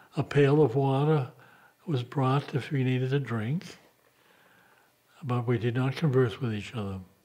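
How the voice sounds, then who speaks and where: At a moderate pace with long, frequent pauses, a man speaks at a medium pitch in a dark, mellow tone with ordinary pitch variation. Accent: American. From US Northeast, Boston. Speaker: monk. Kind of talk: documentary interview.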